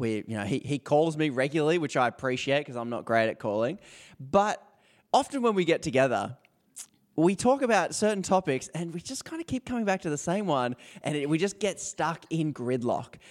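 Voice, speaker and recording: A man talks at a fairly quick pace in an Australian accent. His pitch sits fairly high and swings very widely. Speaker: podcast co-host. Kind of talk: casual chat. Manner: laughs often.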